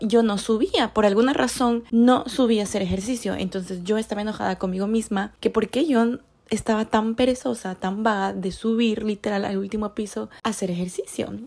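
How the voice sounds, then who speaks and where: Her animated tone and fairly high pitch come through as a woman speaks at a moderate pace with ordinary pitch variation and hardly any pauses. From Ecuador. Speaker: podcast host. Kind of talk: casual monologue. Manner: code-switching into English.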